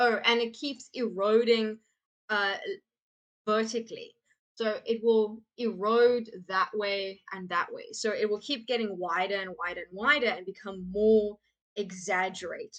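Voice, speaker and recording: At a fairly slow pace, a woman with an unremarkable speaking voice talks at a fairly high pitch with fairly even intonation and big swings in loudness. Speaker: teacher. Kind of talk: lecture. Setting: live stream.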